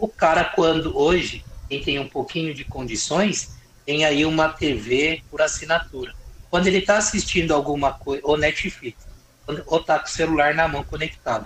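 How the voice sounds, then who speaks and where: Speaking at a moderate pace, a man has a normal speaking voice and a fairly high pitch. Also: ordinary pitch variation. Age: 40s. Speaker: lawyer and politician. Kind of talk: casual interview about politics.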